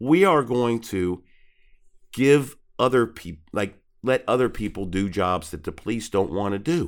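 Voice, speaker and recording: A man speaks fairly slowly at a medium pitch, his voice making very wide pitch swings. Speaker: podcast co-host. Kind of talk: casual chat. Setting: video call.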